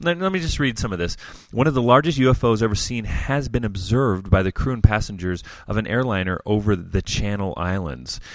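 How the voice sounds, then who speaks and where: Captured in a very clean recording with a silent background, a man with an unremarkable speaking voice talks at a fairly low pitch with lively intonation. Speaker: co-host of youth group podcast. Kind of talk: casual banter, radio DJ patter reading news items. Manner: playful, jokey, casual.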